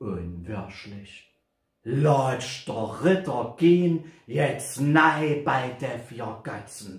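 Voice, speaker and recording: Speaking in a Saxon accent at a very slow pace, a man with a medium pitch uses lively intonation and big swings in loudness, with audible room echo and a quiet background. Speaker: poetry reciter. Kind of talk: poetry reading. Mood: humorous, theatrical. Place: home room. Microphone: camera far.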